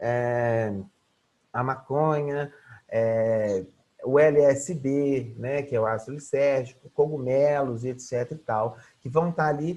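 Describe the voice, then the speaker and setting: A man's very slow speech with a dark, mellow tone, medium pitch and fairly even intonation. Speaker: psychology lecturer. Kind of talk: online lecture. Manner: halting, filler-heavy.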